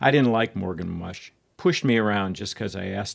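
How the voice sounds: The surroundings are quiet. A natural reading voice carries through.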